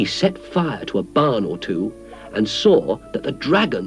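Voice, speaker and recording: A man speaks with music in the background. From British. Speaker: actor. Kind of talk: children's story narration.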